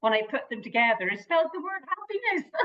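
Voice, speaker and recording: A woman speaks in a strong Irish accent. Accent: Irish lilt, kept strong. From Ireland. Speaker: motivational speaker and therapist. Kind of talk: interview.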